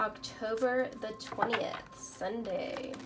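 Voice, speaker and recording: A woman speaks very slowly at a fairly high pitch with fairly even intonation, her voice carrying audible room echo over music in the background. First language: Spanish. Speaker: tarot reader. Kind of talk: tarot reading.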